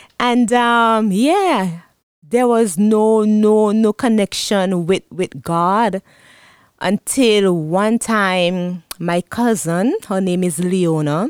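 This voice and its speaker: Speaking at a very slow pace with a Vincentian accent, a woman is heard in dry, close sound without echo. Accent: Vincentian Caribbean English. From Saint Vincent and the Grenadines. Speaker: guest, church pastor's wife, testimony giver. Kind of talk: testimony. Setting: studio.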